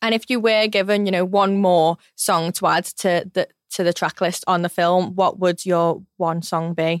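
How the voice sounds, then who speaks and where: In a Liverpool accent, a woman speaks at medium pitch and a moderate pace with hardly any pauses, flat, monotone intonation and very even loudness, recorded very cleanly against a silent background with a dry, close sound and no echo. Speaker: podcast host. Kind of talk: interview.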